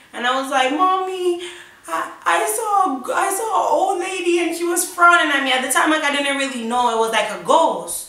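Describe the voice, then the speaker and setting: This woman's voice sits extremely high and swings very widely in pitch, raised and projected at a moderate pace. Noticeable background noise and audible room echo fill the recording. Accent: American. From US, Jamaican family. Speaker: YouTuber. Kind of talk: storytime. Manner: animated.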